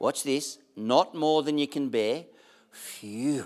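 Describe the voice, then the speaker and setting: Fairly high pitch from a man, on a very clean recording with a silent background. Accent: Australian. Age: 60s. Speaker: pastor. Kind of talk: sermon. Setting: church.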